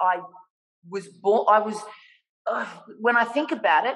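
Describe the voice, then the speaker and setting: A woman with an Australian accent against a quiet background. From Australia (Melbourne). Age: 50s. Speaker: artist; guest. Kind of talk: casual interview. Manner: animated. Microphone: video call.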